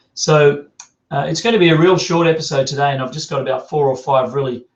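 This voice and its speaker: Here is a man with an Australian accent. His voice sits at a fairly high pitch and sounds somewhat breathy. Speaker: business coach. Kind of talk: video podcast tutorial. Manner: animated.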